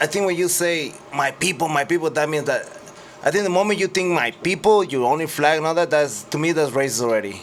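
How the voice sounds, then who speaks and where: Over noticeable background noise, a man with a fairly high pitch talks at a very fast pace, with ordinary pitch variation and very even loudness. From Mexico, Sinaloa. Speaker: retired world champion boxer. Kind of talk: podcast interview. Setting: radio studio. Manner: casual, halting with repetitions.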